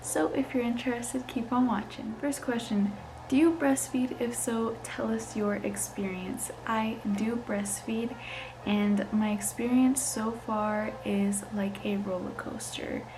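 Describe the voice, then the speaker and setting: Soft-spoken and fairly high-pitched, a woman talks at a fairly slow pace with fairly even intonation, amid audible room echo and noticeable background noise. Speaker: lifestyle vlogger, new mom. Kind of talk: casual Q&A vlog. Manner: casual, filler-heavy.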